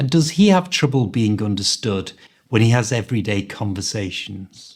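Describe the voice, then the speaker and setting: A man speaks in a Liverpool accent with lively intonation. His voice is somewhat breathy. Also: medium pitch for a man, moderate pace. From Liverpool, England. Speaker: English language coach. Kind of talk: podcast conversation.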